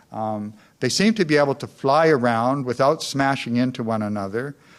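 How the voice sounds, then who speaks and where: On a very clean recording with a silent background, a man with a Western Canadian accent speaks with ordinary pitch variation. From Canada, North Vancouver, British Columbia. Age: 60s. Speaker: community activist giving a lecture. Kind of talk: public lecture. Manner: hesitant, many fillers.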